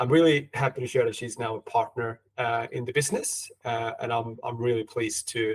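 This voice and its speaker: A man with a Swedish accent at a fairly quick pace, hardly any pauses, in a dry, close sound with no echo. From Sweden. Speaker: podcast host, consultant. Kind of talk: podcast interview. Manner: halting, repeats words.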